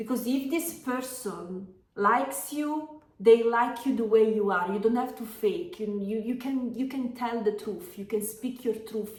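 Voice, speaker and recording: With an Italian accent, a woman speaks at a fairly slow pace and fairly high pitch with ordinary pitch variation, amid audible room echo and noticeable background noise. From Italy. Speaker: tarot reader and yoga teacher. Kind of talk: tarot reading. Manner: halting, many fillers.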